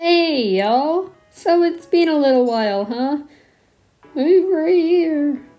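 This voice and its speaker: A woman's high voice with lively intonation at a very slow pace, music in the background. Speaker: digital artist and YouTuber. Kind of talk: casual narration over speedpaint.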